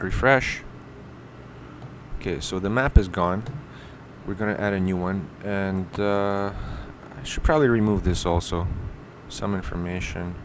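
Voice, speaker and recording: A man talks at a fairly slow pace in a fairly low pitch, leaving long, frequent pauses. The room echo is audible. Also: ordinary pitch variation. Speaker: web design tutorial maker. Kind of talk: screen-recorded tutorial. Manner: casual, with self-corrections.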